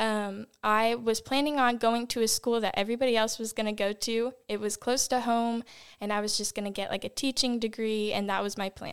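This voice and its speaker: A woman's plain, everyday voice, fairly high, with an American accent, fairly even intonation, a fairly quick pace and hardly any pauses, on a very clean recording with a silent background. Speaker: ministry intern. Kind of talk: podcast discussion.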